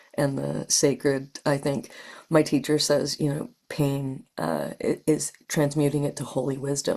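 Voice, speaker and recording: A woman with a Canadian accent speaks at a fairly slow pace in a very deep, low voice with vocal fry, a dark, mellow tone and monotone, flat intonation. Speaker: spiritual practitioner, trauma survivor. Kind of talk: podcast interview.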